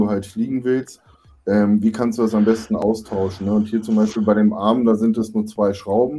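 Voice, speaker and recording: At a moderate pace, a man speaks at a fairly low pitch with a dark, mellow tone and monotone, flat intonation. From near Braunschweig, Lower Saxony, Germany. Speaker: FPV drone racing pilot. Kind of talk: casual chat.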